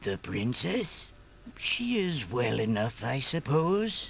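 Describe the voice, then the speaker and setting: Using a put-on character voice at a medium pitch, a man speaks at a very slow pace amid clear background noise. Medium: video game.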